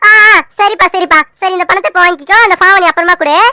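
A woman races along at a very fast pace in a squeaky, extremely high put-on character voice with ordinary pitch variation. Her loudness stays very even, and the sound is dry and close with no echo. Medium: cartoon.

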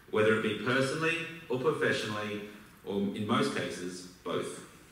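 Strong room echo surrounds a voice with an Australian accent. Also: man. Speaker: business school alumnus. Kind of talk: speech to an audience. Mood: warm, reflective. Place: hall.

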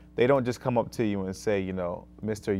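At a moderate pace, a man talks in a fairly low pitch with ordinary pitch variation. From Rochester, New York, US; New York. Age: 30s. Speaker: school social worker; guest. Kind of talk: talk show interview. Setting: TV studio. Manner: many fillers (um, uh). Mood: earnest, calm advice. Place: studio.

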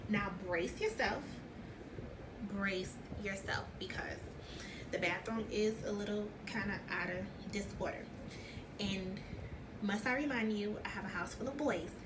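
Noticeable background noise accompanies a woman who talks at a fairly slow pace with long, frequent pauses. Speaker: home vlogger. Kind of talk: casual vlog chat. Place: bathroom. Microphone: phone near.

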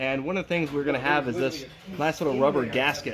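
Speaking very fast with ordinary pitch variation, a man is heard over noticeable background noise. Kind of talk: tutorial. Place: home room.

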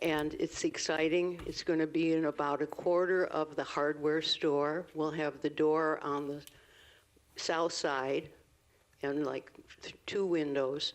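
Someone talks at a very slow pace against a quiet background. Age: 80s+. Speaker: public commenter, local artist. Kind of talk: public comment at council meeting.

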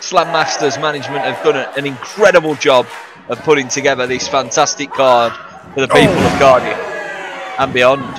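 A man with a fairly high voice speaks in an animated, enthusiastic tone. Noticeable background noise runs behind him. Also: ordinary pitch variation, moderate pace. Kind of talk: live wrestling commentary. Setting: ringside at a live event. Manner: animated, enthusiastic play-by-play.

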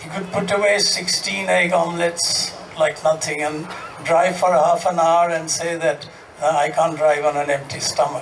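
Light background noise sits under a man speaking at a moderate pace, high-pitched, with an Indian accent. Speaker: former tennis player. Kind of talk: panel discussion. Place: stage. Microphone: handheld.

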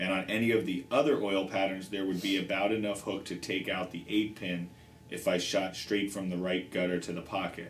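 Light background noise and audible room echo surround a man whose very deep, low voice moves at a fairly quick pace with fairly even intonation. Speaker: show host. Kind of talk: reading a viewer question aloud. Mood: light, joking start. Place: shop.

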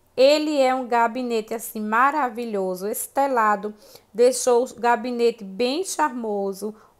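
A woman talks at a fairly slow pace in a high pitch. The background is quiet. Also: big swings in loudness. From Brazil. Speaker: shopping vlogger. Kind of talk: casual vlog chat. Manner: animated, gushing, enthusiastic. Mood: enthusiastic, admiring. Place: shop. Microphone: phone near.

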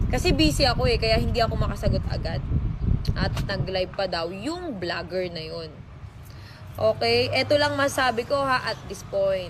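Moderate pace against noticeable background noise. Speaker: vlogger or online personality answering a rival or ex. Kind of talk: heated rebuttal aimed at an ex, half-scolding, half-wounded, in a social media response. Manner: swings between sarcastic mockery and wounded, nostalgic appeals.

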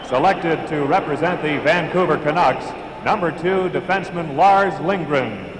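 A man's high pitch at a moderate pace, fairly even intonation, and noticeable background noise. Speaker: arena announcer. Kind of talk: live arena PA announcing of player introductions, formal roll-call. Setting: arena PA system with crowd. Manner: formal, crisp, measured and ceremonial; projecting, announcer-style delivery with rising emphasis on each name. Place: stadium.

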